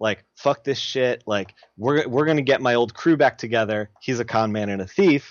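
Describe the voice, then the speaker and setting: This man has an ordinary speaking voice at a medium pitch. His pitch variation is ordinary. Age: 30s. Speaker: comic book colorist. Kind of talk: casual chat.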